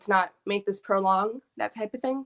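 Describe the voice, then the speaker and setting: In a very clean recording with a silent background, a woman talks at a moderate pace and medium pitch in an ordinary speaking voice. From New York. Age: 20s. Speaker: guest panelist, university student. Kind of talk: casual panel discussion.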